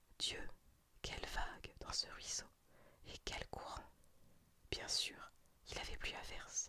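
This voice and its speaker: Someone whispers at a very slow pace. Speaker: ASMR storyteller. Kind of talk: reading aloud. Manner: whispered.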